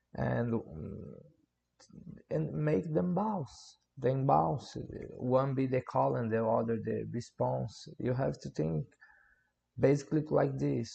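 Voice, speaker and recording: A man with a Portuguese accent, at a very slow pace. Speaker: music producer. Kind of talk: tutorial. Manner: halting.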